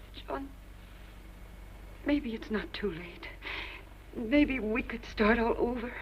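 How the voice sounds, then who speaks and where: The speaker talks at a very slow pace with long, frequent pauses, lively intonation and big swings in loudness. Noticeable background noise runs underneath. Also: woman, high pitch for a woman. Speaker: actress. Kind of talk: 1950s TV drama dialogue. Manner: emotional, pleading.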